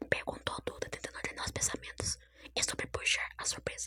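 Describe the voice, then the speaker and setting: A woman whispers at a fairly quick pace. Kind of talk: sleep story, whispered storytelling. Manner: whispered, soft.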